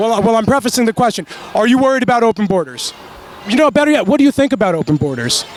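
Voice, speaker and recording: An animated man at an extremely high pitch, very fast pace and lively intonation, over noticeable background noise. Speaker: independent journalist interviewing protesters. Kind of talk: street interview, heated exchange. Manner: animated, argumentative.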